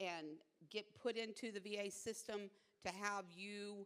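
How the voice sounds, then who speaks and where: A woman talks in an unremarkable speaking voice at a medium pitch. She speaks at a fairly slow pace. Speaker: veteran support officer. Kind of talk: informational presentation.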